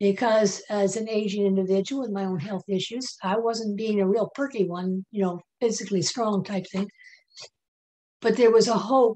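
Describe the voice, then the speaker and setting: A woman with an American accent speaks at a moderate pace in a dark, mellow tone. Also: medium pitch for a woman, fairly even intonation. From US South. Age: 70s. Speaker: nurse and natural health worker. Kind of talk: interview testimony. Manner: halting.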